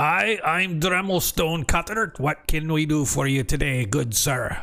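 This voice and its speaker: A gruff, put-on character voice from a man, pitched fairly high. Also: moderate pace. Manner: welcoming, polite.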